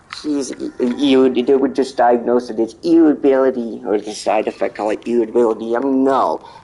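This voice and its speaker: Background noise is clearly present. Through it, a man talks at a medium speed. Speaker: gamer streamer. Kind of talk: casual chat. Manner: halting.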